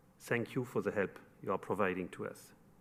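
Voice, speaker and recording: A man talks in a French accent. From France, Paris. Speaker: construction company executive. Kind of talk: formal speech.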